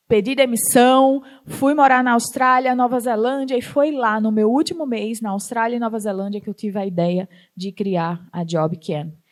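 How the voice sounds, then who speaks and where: Her pitch fairly high, a woman speaks at a moderate pace with lively intonation. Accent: northeastern Brazilian. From Northeast Brazil. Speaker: startup founder and CEO. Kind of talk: talk to an audience.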